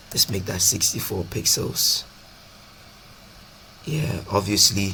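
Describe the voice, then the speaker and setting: Very slowly and with ordinary pitch variation, a man speaks in a fairly low voice over noticeable background noise. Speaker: programming tutor. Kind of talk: coding tutorial narration. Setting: poor microphone recording. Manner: casual, hesitant.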